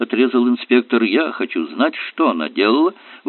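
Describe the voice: What you hear is plain reading aloud.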